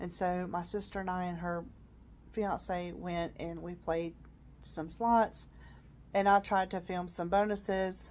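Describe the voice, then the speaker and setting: A woman with an American accent talks at a fairly slow pace in a monotone, flat intonation, leaving long, frequent pauses. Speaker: vlogger. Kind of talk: casual personal vlog. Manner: hesitant, many fillers.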